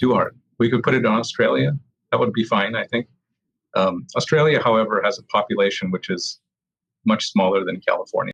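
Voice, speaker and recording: Here a man with an American accent speaks at a fairly quick pace. The sound is dry and close with no echo. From US South. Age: 50s. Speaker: experimental physicist. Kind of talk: casual interview conversation.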